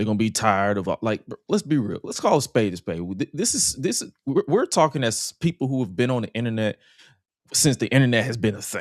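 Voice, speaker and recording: With an American accent, a man speaks at a very fast pace in an animated tone. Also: lively intonation, dry, close sound with no echo. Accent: country twang deeper into conversation. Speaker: wrestling podcast co-host. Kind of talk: casual chat.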